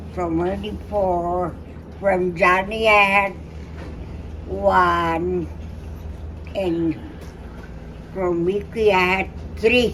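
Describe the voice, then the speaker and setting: There is noticeable background noise and audible room echo. A woman speaks at a very slow pace. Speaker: pageant contestant. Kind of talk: interview. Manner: halting.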